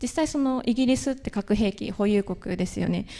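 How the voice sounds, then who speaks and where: A woman's fairly high voice with a dark, mellow tone, ordinary pitch variation and a fairly quick pace. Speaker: university student, youth delegate; presenter. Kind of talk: panel presentation. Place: hall.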